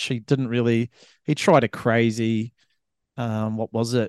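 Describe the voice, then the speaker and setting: A man with a New Zealand accent speaks at a fairly slow pace. The sound is dry and close with no echo, over a quiet background. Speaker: podcast co-host. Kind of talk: casual chat.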